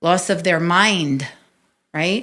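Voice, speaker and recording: A woman with a New York accent, fairly low in pitch and animated in tone, with ordinary pitch variation, in a very clean recording with a silent background. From New York City, Staten Island. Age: 50s. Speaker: podcast host. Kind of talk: interview, telling own life story.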